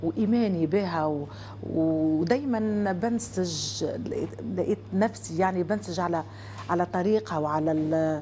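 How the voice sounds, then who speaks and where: In a Tunisian accent, a woman speaks at a very slow pace with very wide pitch swings over light background noise. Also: fairly low pitch for a woman. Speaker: singer guest. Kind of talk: casual interview. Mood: reflective, expressive gestures. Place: studio.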